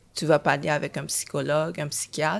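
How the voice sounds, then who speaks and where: A woman talks. The background is silent, and the recording is very clean. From Haiti, raised in Montreal from age 11. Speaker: screenwriter. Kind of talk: testimony.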